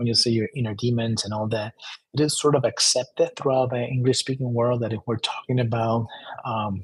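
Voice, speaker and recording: A man with a Spanish accent talks at a fairly quick pace in a medium pitch. His intonation is monotone and flat, and his voice is somewhat breathy. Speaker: self-help author. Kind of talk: book presentation monologue. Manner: halting, many repetitions and fillers.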